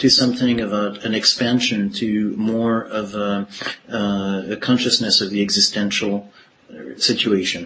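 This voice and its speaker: An ordinary speaking voice at a fairly slow pace, with ordinary pitch variation. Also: man. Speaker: podcast host interviewer. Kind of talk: interview conversation.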